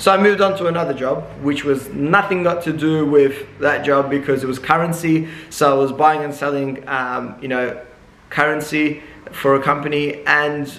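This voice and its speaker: A man speaks at a moderate pace with fairly even intonation. Audible room echo is present. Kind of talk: casual vlog chat. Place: shop.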